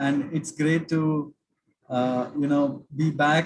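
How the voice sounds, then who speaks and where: Speaking with a South Indian accent at a fairly slow pace, a man has a fairly high pitch. His voice is somewhat breathy, his intonation monotone and flat. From South India, Cochin (Kerala). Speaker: finance expert, workshop speaker. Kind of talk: online lecture. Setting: video call. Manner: halting, many fillers.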